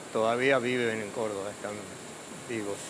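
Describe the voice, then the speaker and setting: A man in a Rioplatense accent at a fairly slow pace with fairly even intonation, plus audible room echo and noticeable background noise. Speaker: pope's former schoolmate. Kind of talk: interview. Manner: halting.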